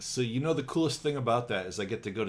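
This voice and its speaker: A man's somewhat breathy voice races at a very fast pace, the intonation lively. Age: 60s. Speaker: animator. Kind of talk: casual chat.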